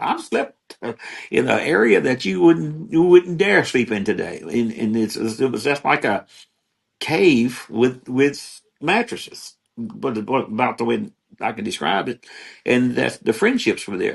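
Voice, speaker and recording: At a fairly slow pace, a man with medium pitch speaks in very wide pitch swings, with vocal fry. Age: 70s. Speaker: former college football player. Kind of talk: interview. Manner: halting.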